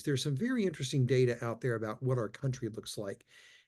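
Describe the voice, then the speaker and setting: In an American accent, the voice races along at a very fast pace. Its tone is dark, mellow and somewhat breathy, over a quiet background. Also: man. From Texas, Austin. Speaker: leadership trainer. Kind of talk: conference talk. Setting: virtual conference. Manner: repetitive stammering starts; animated.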